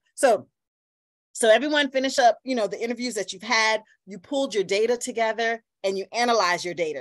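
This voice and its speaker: The voice has an animated tone and ordinary pitch variation over a quiet background. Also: woman. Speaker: workshop facilitator. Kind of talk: online workshop lecture. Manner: fast when excited; animated, interactive. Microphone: video call.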